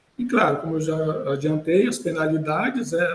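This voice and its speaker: Noticeable background noise sits behind a man's voice. His pitch is fairly high, and he speaks at a moderate pace. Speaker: lawyer, healthcare management consultant. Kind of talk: webinar presentation. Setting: online webinar. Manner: hesitant, many fillers.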